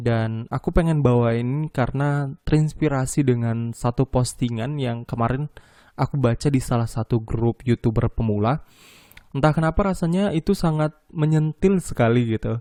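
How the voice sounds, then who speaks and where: Against a quiet background, a man speaks at a moderate pace and medium pitch, with a dark, mellow tone, ordinary pitch variation, and a dry, close sound with no echo. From Medan, North Sumatra, Indonesia. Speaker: podcast host. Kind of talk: solo podcast monologue. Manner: casual, conversational.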